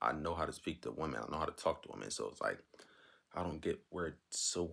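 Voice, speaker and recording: Quiet and very deep, a man's voice moves at a fairly quick pace with vocal fry. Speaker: advice vlogger. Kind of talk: casual monologue.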